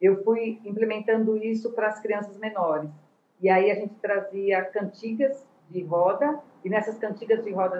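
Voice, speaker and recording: This woman speaks at a medium pitch and a moderate pace. Her pitch varies in an ordinary way. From Brazil, São Paulo. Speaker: retired education professor and theatre educator. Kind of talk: interview. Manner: hesitant, many fillers.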